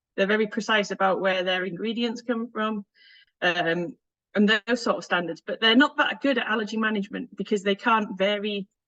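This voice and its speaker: With a Northern English accent, a woman speaks at a fairly quick pace in a bright, sharp tone with fairly even intonation, the sound dry and close with no echo. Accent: Northern British. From northern England. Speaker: food safety consultant and conference speaker. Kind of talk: conference presentation.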